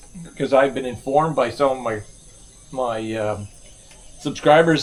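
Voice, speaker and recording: At a moderate pace, a man in an Ottawa Valley accent talks at a medium pitch with ordinary pitch variation. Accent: Canadian (Ottawa Valley). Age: 60s. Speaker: retired expat vlogger. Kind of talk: casual vlog monologue. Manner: halting, many fillers; relaxed, laid-back.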